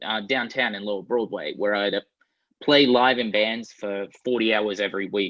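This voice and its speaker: This is a man speaking with an Australian accent. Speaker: guitarist and producer. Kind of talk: interview answer. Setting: video call.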